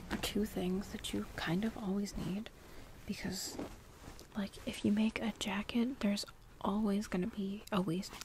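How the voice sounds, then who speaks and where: Soft-spoken at a fairly slow pace with long, frequent pauses, the voice sounds dry with no echo over light background noise. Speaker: sewing and cosplay vlogger. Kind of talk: soft-spoken ASMR sewing vlog talking to camera. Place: home room.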